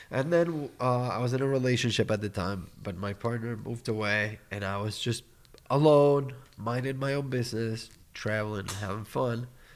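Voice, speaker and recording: Someone with a New York accent speaks at a moderate pace. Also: man, medium pitch for a man, ordinary pitch variation. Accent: sounds like a New Yorker in English. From Argentina. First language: Spanish. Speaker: podcast guest, cacao business owner. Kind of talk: casual chat.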